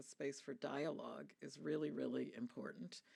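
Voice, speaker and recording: A woman speaks with vocal fry. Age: 60s. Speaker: UN agency head, physician. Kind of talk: panel discussion Q&A. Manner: measured, with frequent fillers.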